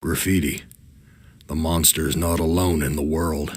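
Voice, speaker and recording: A man's put-on character voice, very deep and low in pitch, monotone and flat, at a moderate pace. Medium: video game. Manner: weary, brooding.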